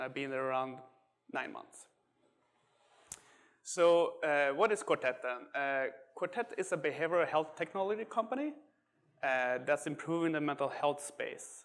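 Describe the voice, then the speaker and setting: A man with a slight Swedish accent, at a moderate pace, with ordinary pitch variation and long, frequent pauses. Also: fairly high pitch for a man. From Sweden. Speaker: software engineer. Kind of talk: tech talk. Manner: hesitant, many fillers.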